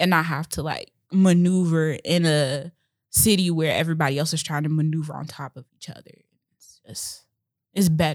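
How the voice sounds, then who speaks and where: In a very clean recording with a silent background, a woman with an American accent uses a plain, everyday voice at a fairly low pitch, moderate pace and fairly even intonation. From Chicago, Illinois. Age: 20s. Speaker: podcast co-host, hair business owner. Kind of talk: casual chat. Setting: podcast recording.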